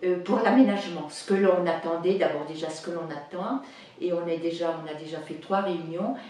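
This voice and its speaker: A woman with a medium pitch talks at a fairly slow pace, with audible room echo and noticeable background noise. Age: 70s. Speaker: senior council member. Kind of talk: interview. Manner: halting, many hesitations.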